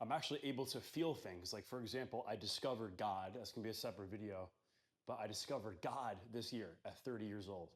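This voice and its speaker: A man talks at a very fast pace, his pitch fairly low. His pitch variation is ordinary. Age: 30s. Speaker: wellness vlogger. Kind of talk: personal testimony monologue. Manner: casual, conversational.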